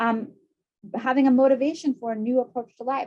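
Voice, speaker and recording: Over music in the background, a woman talks at a very fast pace and a high pitch. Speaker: psychiatrist presenting webinar. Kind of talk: lecture; Q&A answer. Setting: video webinar.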